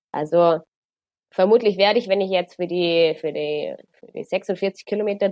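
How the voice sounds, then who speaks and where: A woman talks at medium pitch in a plain, everyday voice with ordinary pitch variation. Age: 20s. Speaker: runner and transport planner. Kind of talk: casual interview chat.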